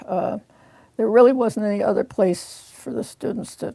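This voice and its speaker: A woman talks with vocal fry. Her pitch varies in an ordinary way. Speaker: retired law librarian, oral history interviewee. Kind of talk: oral history interview answer.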